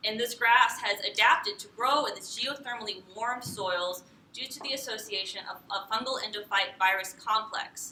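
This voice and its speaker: A woman speaks at a moderate pace in a fairly high voice. Her pitch varies in an ordinary way. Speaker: PhD candidate. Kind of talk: lecture. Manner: loud; halting, many fillers.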